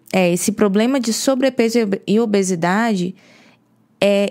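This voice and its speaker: Here is a woman with an ordinary speaking voice at a medium pitch. Her pitch varies in an ordinary way and her pace is fairly slow. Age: 30s. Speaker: podcast co-host, health and weight-loss coach. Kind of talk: casual chat.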